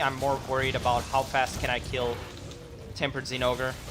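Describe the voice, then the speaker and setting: A woman speaks quietly in a very deep, low pitch. Noticeable background noise and audible room echo fill the recording. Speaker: gaming streamer. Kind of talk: live gameplay commentary.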